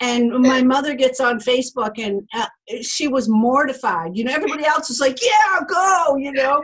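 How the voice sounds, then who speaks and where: A woman with an American accent, high pitch, lively intonation and a moderate pace. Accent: Boston accent when angry. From Boston. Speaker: podcast host and publisher. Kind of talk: casual chat. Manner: halting.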